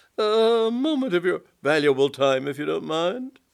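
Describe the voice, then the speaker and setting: A guttural, put-on character voice at a middle pitch and a moderate pace. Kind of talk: formal, upper-class. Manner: slow, deliberate, polite.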